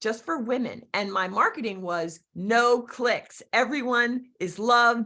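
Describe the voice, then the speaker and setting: A woman speaks in a Philadelphia accent with a fairly high pitch. Her tone is bright, sharp and animated. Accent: Philadelphia-area. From Philadelphia area, Pennsylvania (Berks County, part Pennsylvania Dutch). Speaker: real estate agent and business coach. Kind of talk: interview with personal stories.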